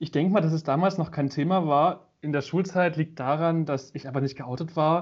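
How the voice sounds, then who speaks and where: A man with an ordinary speaking voice talks at a moderate pace, his fairly high pitch held in fairly even intonation. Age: 20s. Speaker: media design student and photographer. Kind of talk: casual chat.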